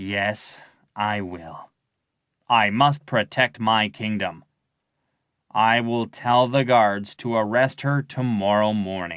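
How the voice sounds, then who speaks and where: Using a put-on character voice, a man talks at a fairly low pitch. His pace is very slow, with long, frequent pauses. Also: ordinary pitch variation, very clean recording, silent background. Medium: read story.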